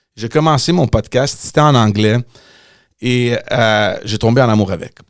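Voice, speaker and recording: A man's medium-pitched voice with an English accent at a very slow pace, on a very clean recording with a silent background. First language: English (speaking French). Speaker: podcast host, former politician. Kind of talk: casual chat. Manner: halting, repeats words.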